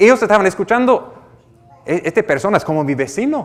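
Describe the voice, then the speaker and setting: The speaker has an American accent and swings very widely in pitch. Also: man. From United States. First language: English (speaking Spanish). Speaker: pastor. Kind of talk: sermon. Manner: halting, with repetitions.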